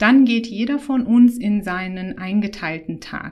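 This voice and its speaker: Speaking at a very slow pace, a woman uses a fairly high voice. It is somewhat breathy, with ordinary pitch variation. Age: 30s. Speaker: gynecologist. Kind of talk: casual interview.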